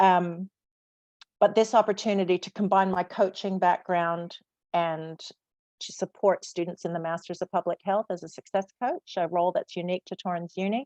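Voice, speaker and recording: A woman speaks with an American accent in an ordinary speaking voice, at a medium pitch and a moderate pace. The sound is dry and close, with no echo. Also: fairly even intonation. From USA. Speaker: public health student success coach. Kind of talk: panel discussion.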